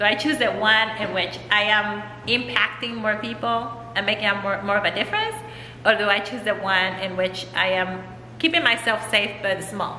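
Amid light background noise and audible room echo, a woman speaks at medium pitch and a moderate pace with ordinary pitch variation. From Mexico. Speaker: author and transformation coach. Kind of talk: casual interview chat. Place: hall.

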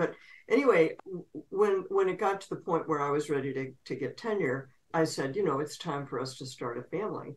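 A woman's speech moves along at a fairly quick pace. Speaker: interview guest. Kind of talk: interview answer. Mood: warm, candid, occasionally laughing. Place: home room. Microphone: video call.

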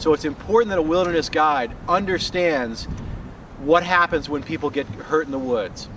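A man's fairly high voice with an American accent at a moderate pace, over noticeable background noise. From Colorado, US. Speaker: paramedic and wilderness first aid instructor. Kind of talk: promotional course explanation. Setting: outdoors on location in Finland. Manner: casual with frequent fillers.

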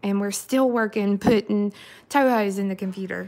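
A woman speaks at a medium pitch with a slightly mellow tone.

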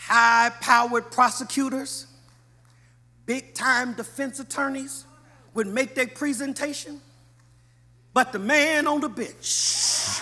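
Raised and projected, a man's extremely high-pitched voice has a bright, sharp tone and moves at a very slow pace with long, frequent pauses. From US West Coast, Los Angeles. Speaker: pastor. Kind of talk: sermon. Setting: church. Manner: animated. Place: church. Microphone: podium.

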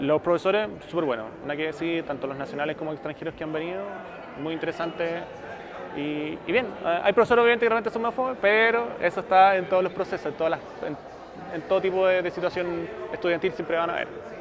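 Over noticeable background noise, a man talks very fast in a Chilean accent, his pitch high with ordinary variation. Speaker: journalist, social media manager; journalist. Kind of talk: interview testimonial. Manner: hesitant, many fillers. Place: hall.

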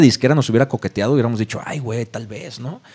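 A man talks at a very fast pace. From Mexico, Tepic, Nayarit. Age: 30s. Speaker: punk band vocalist. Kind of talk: casual interview chat.

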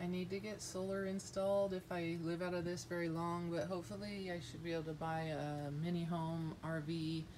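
Noticeable background noise sits behind the speaker. She is a woman with a fairly low pitch. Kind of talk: casual vlog tour. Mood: calm, matter-of-fact. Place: garage. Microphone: phone near.

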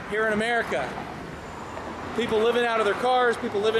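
A man's voice comes with noticeable background noise. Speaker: vlogger. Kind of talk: casual vlog commentary. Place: street. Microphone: phone near.

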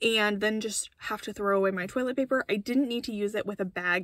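The voice moves at a moderate pace with ordinary pitch variation, against a quiet background with dry sound and no echo. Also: woman. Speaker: car-living vlogger. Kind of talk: casual vlog chat. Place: car. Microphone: phone near.

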